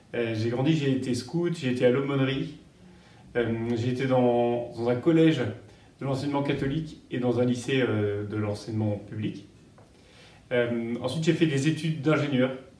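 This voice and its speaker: A man speaks in a medium-pitched voice with a dark, mellow tone. He leaves long, frequent pauses, and audible room echo surrounds him. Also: ordinary pitch variation, moderate pace. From France, Paris region (Yvelines). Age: 30s. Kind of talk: interview. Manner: halting, many hesitations.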